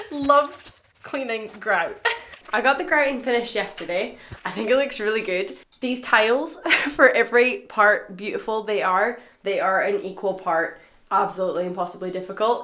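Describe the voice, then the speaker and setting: A woman speaks in an animated tone at a fairly high pitch. Noticeable background noise runs behind her. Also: lively intonation, moderate pace. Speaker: vlogger doing DIY renovation. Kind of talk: casual vlog.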